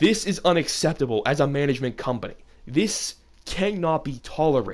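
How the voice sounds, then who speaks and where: A man's fairly high-pitched voice at a fairly quick pace, with lively intonation. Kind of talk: unscripted rant to camera.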